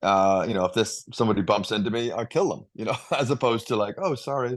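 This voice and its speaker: Here a man speaks at a very fast pace with a slight Northern Irish accent. His pitch is medium, with ordinary variation. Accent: subtle Northern Irish. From Northern Ireland. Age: 50s. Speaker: leadership coach. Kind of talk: interview answer.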